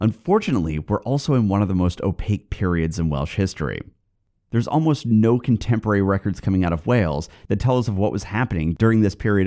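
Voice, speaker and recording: Recorded very cleanly against a silent background, a man with a West Coast American accent talks very fast, his fairly low voice dark and mellow, with lively intonation. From US West Coast. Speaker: podcast host. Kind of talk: scripted narration, history podcast.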